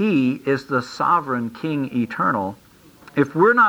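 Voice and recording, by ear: Someone is reading aloud in a natural voice.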